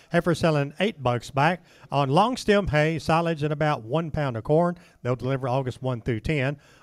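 With an unremarkable speaking voice, a man talks at a moderate pace and a fairly high pitch, with ordinary pitch variation. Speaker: livestock auction announcer. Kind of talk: reading out lot descriptions for a cattle auction. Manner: brisk, matter-of-fact listing of lot details.

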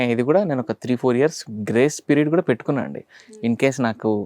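A man speaks in an ordinary speaking voice at medium pitch with ordinary pitch variation. The sound is dry and close with no echo. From Andhra Pradesh, Rayalaseema (Kurnool, Anantapur), later Hyderabad. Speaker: singer and film music composer. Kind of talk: casual interview.

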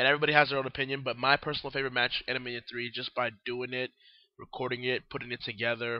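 The delivery is monotone, with flat intonation and a very fast pace. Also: man, medium pitch for a man.

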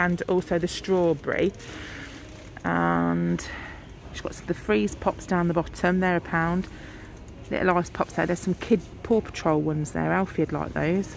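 A woman speaks at a moderate pace with long, frequent pauses. The sound is dry with no echo, and there is light background noise. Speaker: shopper vlogger. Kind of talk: casual vlog chat. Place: shop. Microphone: phone near.

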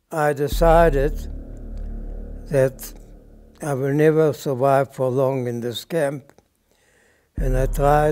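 Faint music plays in the background as a man speaks very slowly in a fairly high pitch. His intonation is monotone and flat, with long, frequent pauses. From Lithuania. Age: 90s. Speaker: Gulag survivor. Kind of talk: testimony. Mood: grave, reflective. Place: home room.

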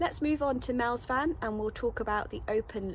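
The speaker is a woman going at a moderate pace. Behind her sits light background noise. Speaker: vanlife vlogger. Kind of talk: casual vlog chat. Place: open country. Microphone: phone near.

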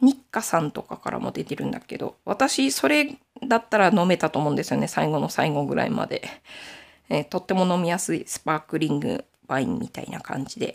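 Over a silent background on a very clean recording, a woman speaks at a fairly quick pace in a fairly low pitch, with vocal fry and very wide pitch swings. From Aomori, Nanbu region, Japan. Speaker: knitting YouTuber. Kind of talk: casual chat.

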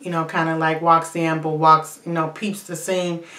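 This woman's voice sits at a fairly low pitch. Room echo is audible around her. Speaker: TV show reviewer. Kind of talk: casual vlog chat. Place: bathroom. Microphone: phone near.

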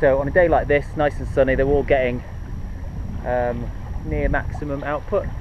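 A man's voice, dry with no echo, against noticeable background noise. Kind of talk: casual vlog tutorial. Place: boat.

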